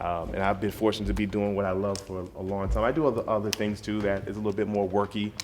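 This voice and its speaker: Speaking very fast in an American accent, a man keeps a flat, monotone intonation at fairly low pitch, with audible room echo around him. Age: 30s. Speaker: DJ. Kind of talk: motivational talk to students. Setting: school study hall with students. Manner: casual, conversational.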